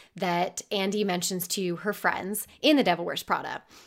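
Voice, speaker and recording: A woman speaks at a moderate pace in a plain, everyday voice with medium pitch. The recording is very clean, with a silent background. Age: 20s. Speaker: podcast host. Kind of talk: casual solo podcast monologue.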